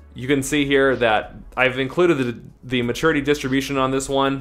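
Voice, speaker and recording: At a very fast pace, a man with a medium pitch speaks in a monotone, flat intonation over music in the background. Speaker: personal finance youtuber. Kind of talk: tutorial. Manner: casual.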